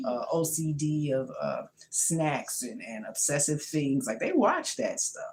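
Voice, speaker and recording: In an animated tone, a woman speaks with a very deep, low pitch. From New York, Brooklyn. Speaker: home cook and health vlogger. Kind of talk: casual vlog chat. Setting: home kitchen.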